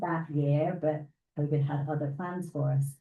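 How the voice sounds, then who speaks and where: With a British accent, a woman speaks at a moderate pace in a dark, mellow tone. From United Kingdom. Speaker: scientist and guest speaker. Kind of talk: presentation to a club meeting.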